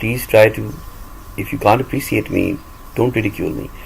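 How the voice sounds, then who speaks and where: There is noticeable background noise as a man speaks at a moderate pace with a Pakistani accent. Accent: Pakistani-accented English, self-acquired. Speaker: audiobook reader and vlogger. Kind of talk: monologue. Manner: animated.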